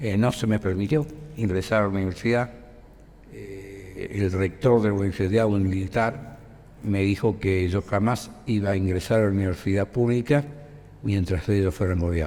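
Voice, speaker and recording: A man talks at a moderate pace with ordinary pitch variation. His pitch is fairly low. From Argentina, Rosario. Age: 60s. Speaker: dictatorship survivor and political activist. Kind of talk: interview testimony. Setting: school visit. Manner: hesitant, many fillers.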